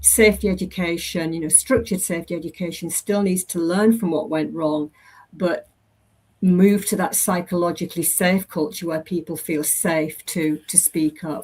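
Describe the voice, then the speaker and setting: A woman's somewhat breathy voice sits at a fairly low pitch, with fairly even intonation. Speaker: safety education presenter. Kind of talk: presentation. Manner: fast.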